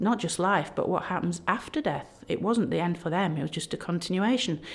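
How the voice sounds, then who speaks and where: With a Yorkshire accent, a woman talks at a moderate pace. Her intonation is lively. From South Yorkshire, England (Barnsley). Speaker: egyptologist, professor. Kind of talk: podcast interview. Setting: recorded at a history festival. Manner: animated.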